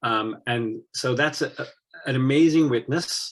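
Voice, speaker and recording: A man with an English accent, medium pitch and fairly even intonation. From England. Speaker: missionary. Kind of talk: interview. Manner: halting.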